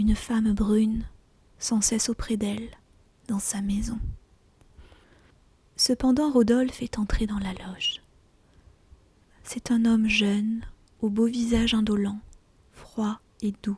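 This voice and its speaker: Whispering and soft-spoken, the speaker keeps a calm tone at a very slow pace. Long, frequent pauses break up the speech over noticeable background noise. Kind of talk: whispered audiobook reading of a short story (ASMR). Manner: whispered, soft, calm.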